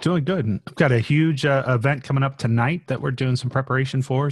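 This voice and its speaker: In a quiet background, a man speaks at a medium pitch and moderate pace, sounding somewhat breathy. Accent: American. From Florida. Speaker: project manager and author. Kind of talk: casual interview. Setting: video call.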